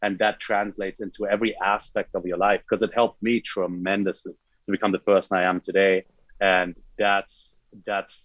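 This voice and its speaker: Flat and monotone, a man with a German accent speaks at a fairly low pitch. The sound is dry and close with no echo, over a quiet background. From Germany, then Hawaii from age 14. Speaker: fitness coach and bodybuilder. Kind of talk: podcast interview. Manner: halting, many fillers.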